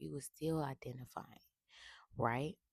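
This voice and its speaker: A woman whispers at a moderate pace, with some vocal fry. The sound is dry and close, with no echo. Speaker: tarot reader. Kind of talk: spiritual reading monologue. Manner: whispering; casual.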